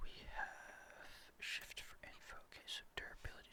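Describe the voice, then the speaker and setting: A man whispers in a relaxed tone. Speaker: ASMR gaming content creator. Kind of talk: ASMR gameplay ramble. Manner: soft-spoken, relaxed, rambling.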